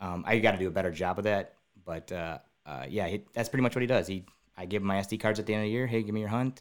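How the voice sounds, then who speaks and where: In a very clean recording with a silent background, a man with an Upper Midwest accent speaks very fast at a fairly low pitch, with ordinary pitch variation. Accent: Upper Midwest American. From southeastern Wisconsin. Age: 30s. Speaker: public land deer hunter and hunting filmmaker. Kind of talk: casual interview chat.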